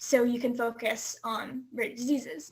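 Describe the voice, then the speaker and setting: A woman with an American accent speaks at a high pitch with fairly even intonation. The recording is very clean, with a silent background. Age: 18. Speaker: university student and patient advocate. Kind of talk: interview answers.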